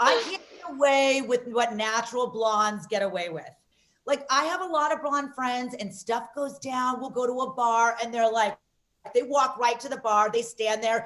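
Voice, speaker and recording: A loud woman with an American accent speaks in an animated tone at a moderate pace, her high pitch showing ordinary variation. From Las Vegas, US. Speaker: comedian. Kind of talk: stand-up.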